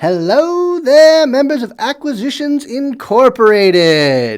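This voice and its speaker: In a loud, high-pitched, put-on character voice, a female-sounding speaker goes at a fairly slow pace over a very clean recording with a silent background. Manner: disdainful, smirking.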